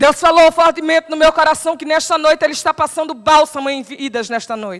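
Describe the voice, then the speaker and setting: In a Paraíba accent, a woman speaks at a fairly quick pace. Her pitch is high, with ordinary pitch variation. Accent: Paraíba northeastern Brazilian. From Paraíba, Brazilian Northeast. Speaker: preacher. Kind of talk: sermon.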